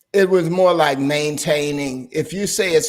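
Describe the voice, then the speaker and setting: A man speaks in a normal speaking voice at a moderate pace. His pitch shows ordinary variation. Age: 60s. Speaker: pastor and channel host. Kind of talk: casual chat.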